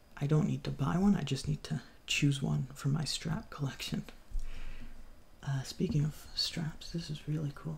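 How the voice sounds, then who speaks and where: Soft-spoken and somewhat breathy, a man talks in a fairly high voice with fairly even intonation. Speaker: ASMR creator, watch collector. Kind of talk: soft-spoken ASMR show-and-tell.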